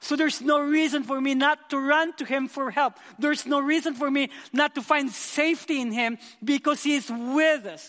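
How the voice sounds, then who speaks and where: A man's extremely high-pitched, passionate voice at a moderate pace, with fairly even intonation. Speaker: youth pastor. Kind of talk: sermon. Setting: church.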